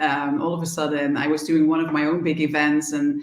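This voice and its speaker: Delivered at a moderate pace with ordinary pitch variation, the speech has noticeable background noise and audible room echo. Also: woman. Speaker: event organizer and DJ. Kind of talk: casual interview.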